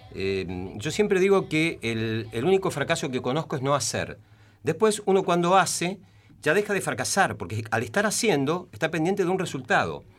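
A man speaks at a fairly high pitch with vocal fry and very wide pitch swings. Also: moderate pace. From Temperley, Buenos Aires, Argentina. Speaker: journalist and playwright. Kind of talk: radio interview. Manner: halting.

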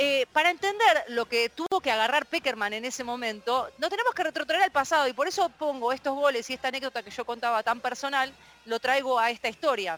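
A high-pitched woman's voice at a fairly quick pace with lively intonation and hardly any pauses, dry and close with no echo, over noticeable background noise. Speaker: radio columnist. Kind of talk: storytelling on radio. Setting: radio program.

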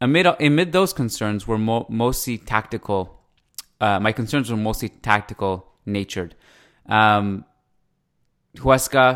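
Long, frequent pauses break up this fairly slow delivery, with ordinary pitch variation. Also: man. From Canada. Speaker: podcast host. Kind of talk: casual sports podcast discussion. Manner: conversational, chatty.

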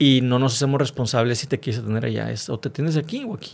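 Recorded very cleanly over a silent background, a man speaks fairly quickly in an ordinary speaking voice at medium pitch with fairly even intonation. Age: 30s. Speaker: motivational speaker and author, cancer survivor. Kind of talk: interview testimony.

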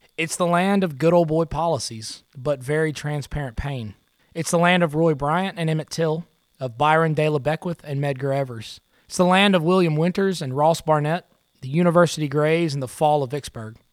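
In a Mississippi accent, a man speaks at a moderate pace with a fairly high pitch and ordinary pitch variation, on a very clean recording with a silent background. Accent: US Southern (Mississippi). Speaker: podcast host. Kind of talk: scripted narration.

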